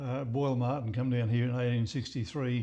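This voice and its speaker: A man with an Australian accent speaks at a medium pitch. His tone is dark and mellow, and his intonation fairly even. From Queensland, Australia (Maryborough). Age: 80s+. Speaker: local historian. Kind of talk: interview. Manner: halting, many repetitions.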